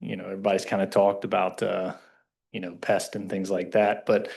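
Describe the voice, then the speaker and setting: A speaker with a Kentucky accent is heard over a quiet background. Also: man. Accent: Southern US (Kentucky). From Kentucky, US South. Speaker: resident speaking at public comment. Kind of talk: public comment at council meeting. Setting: township council meeting.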